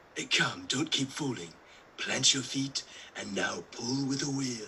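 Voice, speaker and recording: Over clear background noise, a man puts on a character voice at a medium pitch, speaking fairly slowly with ordinary pitch variation. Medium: stage play. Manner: brusque, commanding.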